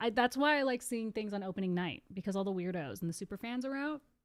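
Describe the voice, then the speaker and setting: Speaking very fast, a woman sounds animated at a medium pitch. Her intonation is lively. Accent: slight Californian. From Southern California. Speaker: live streamer. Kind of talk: casual live stream chat. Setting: live stream.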